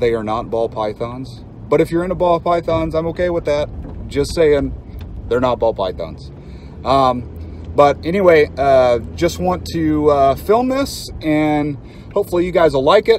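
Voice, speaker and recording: Over light background noise, a man talks at a fairly slow pace with very wide pitch swings, the sound dry with no echo. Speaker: reptile keeper channel host. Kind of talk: casual vlog chat. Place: car. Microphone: phone near.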